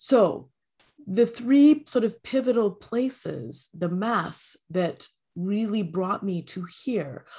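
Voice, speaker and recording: Speaking at a very slow pace, a woman with a Canadian accent has a medium pitch, lively intonation, a dark, mellow tone and a somewhat breathy quality. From Canada. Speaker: empowerment coach. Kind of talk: interview.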